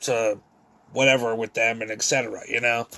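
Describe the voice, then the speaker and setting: This man talks at a medium pitch. His intonation is monotone and flat. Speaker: vlogger. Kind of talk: monologue vlog. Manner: halting, stumbling over words; repetitive fillers.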